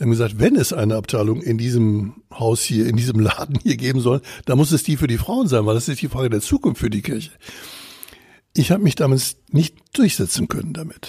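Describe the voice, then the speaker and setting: This man talks at a fairly quick pace with lively intonation and a dark, mellow, somewhat breathy tone. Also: medium pitch for a man. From Bavaria. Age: 70s. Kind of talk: podcast interview.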